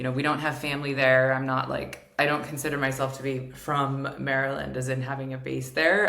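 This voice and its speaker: Noticeable background noise sits behind a woman with an American accent. Her pitch is very deep and low, and her pace is moderate. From England, Surrey (American parents). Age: 40s. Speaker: podcast host, therapist and coach. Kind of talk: solo podcast monologue. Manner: casual, filler-heavy with self-corrections.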